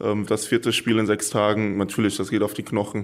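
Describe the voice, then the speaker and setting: In a very clean recording with a silent background, a man with a fairly low-pitched voice talks at a moderate pace. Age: 20s. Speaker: volleyball player. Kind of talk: interview. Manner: hesitant with fillers.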